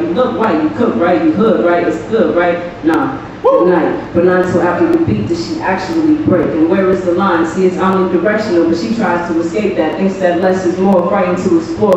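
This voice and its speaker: Amid noticeable background noise and strong room echo, a woman talks at a fairly quick pace with ordinary pitch variation. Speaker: spoken word poet. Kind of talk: spoken word poetry performance. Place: stage.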